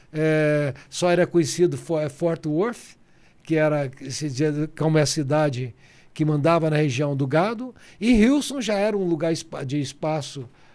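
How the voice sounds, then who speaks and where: A man's normal speaking voice, fairly high in pitch, at a fairly slow pace with ordinary pitch variation, in a very clean recording with a silent background. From Goiás, central Brazil. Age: 60s. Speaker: businessman and politician. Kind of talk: interview.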